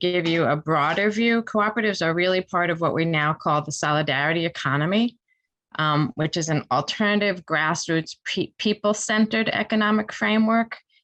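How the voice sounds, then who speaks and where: A woman speaks at a fairly quick pace with a fairly low pitch and lively intonation. Her background is quiet. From New York. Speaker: professor. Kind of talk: lecture. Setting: video call. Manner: fast.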